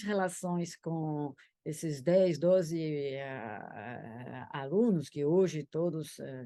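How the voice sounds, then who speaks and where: A woman talks with hardly any pauses in a dark, mellow tone, her loudness swinging widely. The background is quiet. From France, Paris. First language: French (speaking Portuguese). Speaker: law professor. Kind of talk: interview. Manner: halting, many hesitations. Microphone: echo, duplicated sound.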